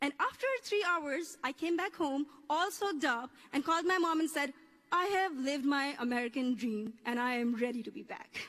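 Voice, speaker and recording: Over noticeable background noise, a woman with a Pakistani accent speaks at a high pitch and moderate pace with lively intonation. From Pakistan, coastal area. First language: Urdu. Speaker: graduating student speaker. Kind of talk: commencement speech. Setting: stage with audience.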